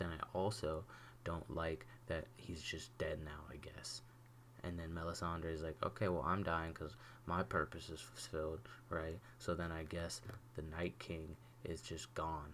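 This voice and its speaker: Quiet, very deep, low man's voice with an animated tone, lively intonation, vocal fry and a fairly slow pace. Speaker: YouTuber reviewing TV episode. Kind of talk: casual solo rant. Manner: quiet, subdued; animated, rambling with false starts.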